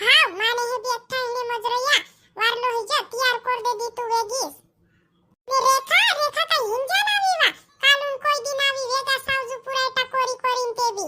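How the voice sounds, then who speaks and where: A squeaky, cartoonish character voice speaks at a moderate pace with fairly even intonation. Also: woman, extremely high pitch for a woman. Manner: motherly, preachy.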